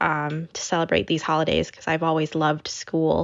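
A woman speaks with an American accent at a fairly quick pace. Her voice is very deep and low. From US Midwest, Naperville, Illinois. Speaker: food blogger. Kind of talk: interview.

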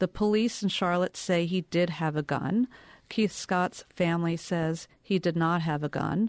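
An ordinary speaking voice: a woman talks at a fairly slow pace at a fairly low pitch, with fairly even intonation and very even loudness. The sound is dry and close with no echo against a quiet background. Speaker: journalist panelist. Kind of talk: panel discussion.

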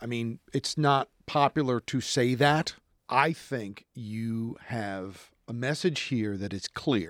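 A man with a New Jersey accent talks at a very slow pace. The recording is very clean, the background silent. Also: medium pitch for a man, ordinary pitch variation, dry, close sound with no echo. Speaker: TV news reporter and anchor. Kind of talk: casual chat. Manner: energetic.

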